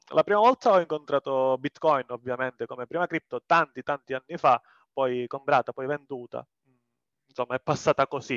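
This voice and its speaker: Someone with a southern Italian accent speaks with fairly even intonation, the sound dry and close with no echo against a quiet background. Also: man. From southern Italy. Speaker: community member. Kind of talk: casual chat.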